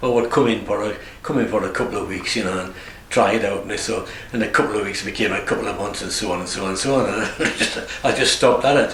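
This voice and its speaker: A man speaks very fast in a room with audible echo and noticeable background noise. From northern England, Northumberland (Morpeth). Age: 70s. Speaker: retiring barber. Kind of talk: interview. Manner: halting.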